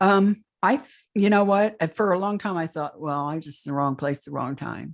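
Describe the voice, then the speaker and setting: A woman with an unremarkable speaking voice talks at a moderate pace and fairly low pitch, her pitch varying ordinarily and her loudness swinging widely, on a very clean recording with a silent background. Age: 60s. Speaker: alien abduction experiencer. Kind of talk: interview testimony.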